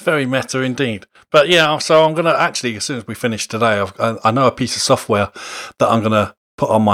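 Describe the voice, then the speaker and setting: Recorded dry and close with no echo, a man uses a normal speaking voice with ordinary pitch variation. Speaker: podcast host. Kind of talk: casual chat. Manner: joking, laughs often.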